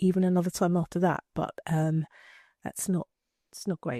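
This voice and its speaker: Her voice sits fairly low for a woman, with a dark, mellow tone and fairly even intonation. The sound is dry and close, with no echo. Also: quiet background. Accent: English. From England. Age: 50s. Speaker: retired marketer and cancer awareness advocate. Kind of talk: casual interview chat. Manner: halting, with many repetitions.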